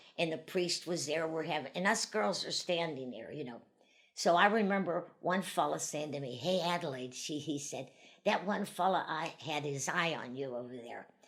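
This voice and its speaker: A woman with an American accent speaks in a very deep, low pitch with ordinary pitch variation. The recording is very clean, with a silent background. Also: moderate pace. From western Pennsylvania, US (Vandergrift). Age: 80s+. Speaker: elderly woman sharing life memories. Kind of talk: oral history interview. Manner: conversational, rambling with self-corrections.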